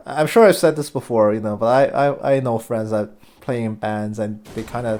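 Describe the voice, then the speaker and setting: A man speaks quietly at a medium pitch. His pace is moderate and his pitch variation ordinary. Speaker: game commentator. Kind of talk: live commentary. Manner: quieter, taking it easy.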